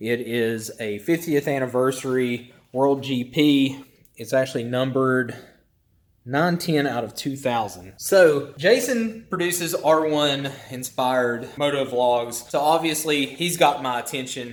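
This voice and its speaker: This male speaker has a medium pitch and ordinary pitch variation. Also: fairly slow pace. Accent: strong Southern. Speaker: motovlogger and ER nurse. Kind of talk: casual vlog monologue.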